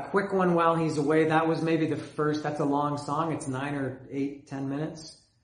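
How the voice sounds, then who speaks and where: With a Canadian accent, the speaker keeps a monotone, flat intonation at a moderate pace with hardly any pauses. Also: man, fairly high pitch for a man. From Canada. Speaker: music fan video host. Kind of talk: solo video monologue about bands. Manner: rambling, casual, with filler words.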